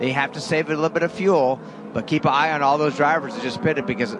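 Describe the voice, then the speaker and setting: Over noticeable background noise, a man with a fairly high pitch speaks with lively intonation. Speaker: driver analyst. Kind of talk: race analysis commentary. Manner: conversational, knowledgeable.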